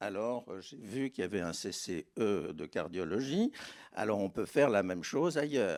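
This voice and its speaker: A man speaks very slowly with vocal fry, his pitch swinging very widely. The recording is very clean, with a silent background. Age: 70s. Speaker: doctor. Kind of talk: panel discussion.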